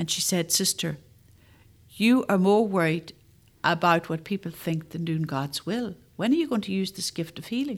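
On a very clean recording with a silent background, a woman with a Northern Irish accent speaks at a moderate pace and medium pitch with lively intonation. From Northern Ireland, Armagh. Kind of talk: faith testimony interview.

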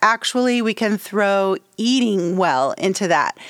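There is a very clean recording with a silent background of a woman with an ordinary speaking voice, medium in pitch and lively in intonation. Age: 50s. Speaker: music business podcast host. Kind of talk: solo podcast tutorial.

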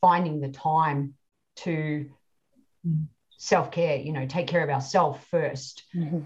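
A woman with a very deep, low pitch speaks in a somewhat breathy, monotone, flat way at a moderate pace. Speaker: podcast host. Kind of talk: interview.

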